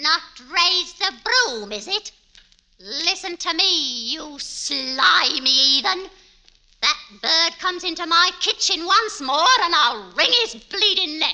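A female-sounding voice puts on a character voice in a Cockney accent, pitched extremely high for a woman. The pace is fairly slow. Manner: shrewish, snapping, hostile.

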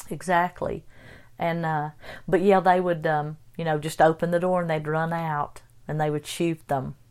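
This is a very clean recording with a silent background. A woman with an Appalachian accent speaks in a fairly low, monotone, flat voice. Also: moderate pace. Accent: Appalachian mountain. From Western North Carolina. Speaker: guest, host's mother. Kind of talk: casual interview, storytelling.

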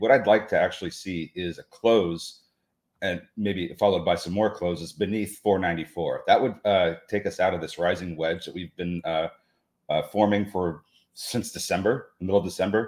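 The speaker has an unremarkable speaking voice, talking at a moderate pace with ordinary pitch variation. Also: man. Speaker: co-host trader. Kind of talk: casual live trading chat.

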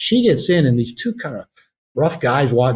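Breathy to some degree, a man of medium pitch talks very fast with lively intonation in an American accent. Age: 60s. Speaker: author and therapist. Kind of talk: interview conversation.

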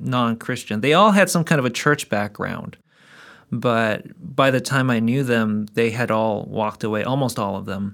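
A man with a plain, everyday voice speaks at medium pitch and a moderate pace with ordinary pitch variation, in a very clean recording with a silent background. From South Korea, moved to Canada at about 14. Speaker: apologetics speaker. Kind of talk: interview.

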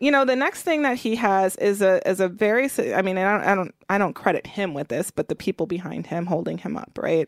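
In a very clean recording with a silent background and a dry, close sound with no echo, a woman with an American accent swings very widely in pitch. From Milwaukee, Wisconsin. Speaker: racial and economic justice organizer. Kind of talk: interview.

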